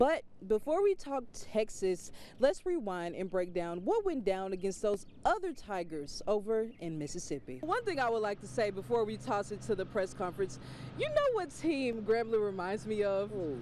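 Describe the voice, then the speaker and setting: A woman at a moderate pace, her pitch swinging very widely, over noticeable background noise. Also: medium pitch for a woman. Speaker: sports reporter. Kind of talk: sports news anchor read.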